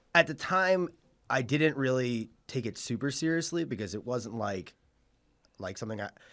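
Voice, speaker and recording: With lively intonation, a man speaks at medium pitch and a moderate pace. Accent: slight Long Island. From Suffolk County, Long Island, New York. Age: 30s. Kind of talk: casual chat. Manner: hesitant, many fillers.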